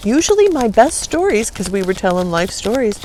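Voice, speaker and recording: This woman sounds animated, her pitch swinging very widely at a moderate pace. Noticeable background noise runs behind her. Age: 60s. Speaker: tarot reader. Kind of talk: tarot reading. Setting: outdoors, camping.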